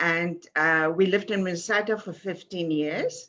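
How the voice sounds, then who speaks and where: Speaking at a fairly slow pace, a woman with a South African accent uses a fairly low pitch and a bright, sharp tone. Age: 70s. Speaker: author and publisher. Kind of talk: interview.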